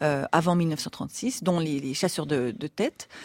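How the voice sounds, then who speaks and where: On a very clean recording with a silent background, a woman speaks with lively intonation in a dry, close sound with no echo. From Swiss Jura, Switzerland. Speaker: explorer and author. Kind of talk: interview conversation. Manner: hesitant, many fillers.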